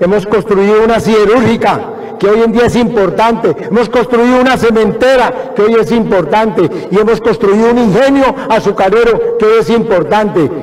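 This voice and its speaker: A man speaks in a high voice with very even loudness. His intonation stays fairly even, with hardly any pauses. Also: moderate pace. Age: 70s. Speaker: city mayor. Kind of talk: welcome speech. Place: hall. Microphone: podium.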